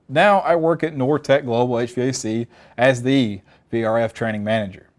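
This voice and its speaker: The speaker is a man with a Southern US accent and ordinary pitch variation. The background is quiet. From Alabama. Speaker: technical trainer. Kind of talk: webinar presentation. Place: studio. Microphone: lapel.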